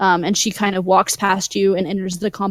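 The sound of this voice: Reading done in an unforced voice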